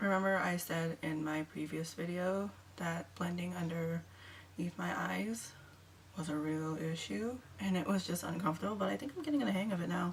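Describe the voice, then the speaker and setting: Quiet and fairly low in pitch, a woman talks at a moderate pace with very wide pitch swings. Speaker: beauty vlogger. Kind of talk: makeup tutorial.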